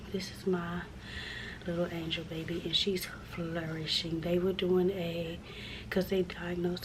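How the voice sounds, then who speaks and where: A woman speaks fairly slowly in a fairly low voice. Noticeable background noise and audible room echo surround her. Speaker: vlogger. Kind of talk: casual vlog. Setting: hospital room. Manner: halting.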